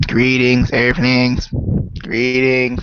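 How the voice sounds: Putting on a character voice, a man speaks at a medium pitch with monotone, flat intonation.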